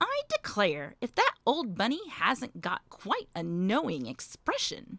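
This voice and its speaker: A woman puts on a character voice pitched high. The sound is dry and close with no echo. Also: fairly slow pace. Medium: read story. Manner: brisk, grumbling.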